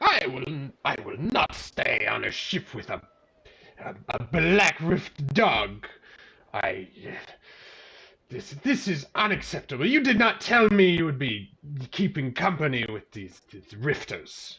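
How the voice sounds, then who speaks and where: He delivers his lines at a fairly slow pace. The man's put-on character voice sits at a fairly high pitch. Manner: indignant, offended.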